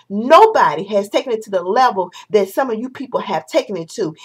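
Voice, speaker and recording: This woman's voice moves through very wide pitch swings. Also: quiet background. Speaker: vlogger. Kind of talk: opinion vlog rant. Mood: indignant, passionate. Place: home room. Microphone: webcam.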